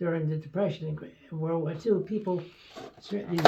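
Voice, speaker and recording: A man's fairly high voice with an American accent and fairly even intonation, with audible room echo and noticeable background noise. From New York City, Brooklyn. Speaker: retired doctor. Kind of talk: interview. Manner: halting.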